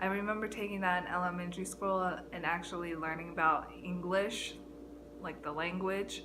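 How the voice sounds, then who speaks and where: Over music in the background and audible room echo, a woman with an American accent speaks at a moderate pace in a fairly low pitch, her intonation monotone and flat. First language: Chinese. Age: 20s. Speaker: YouTuber, college student. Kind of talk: casual vlog monologue. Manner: halting, many fillers.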